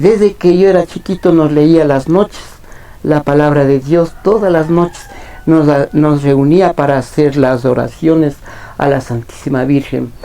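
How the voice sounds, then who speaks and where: Over noticeable background noise, a man talks at a fairly slow pace. His loudness stays very even, and his pitch varies in an ordinary way. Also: fairly high pitch for a man. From Ecuador, Imbabura highlands (San Antonio de Ibarra). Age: 60s. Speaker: ice cream vendor. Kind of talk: interview. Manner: hesitant, many fillers.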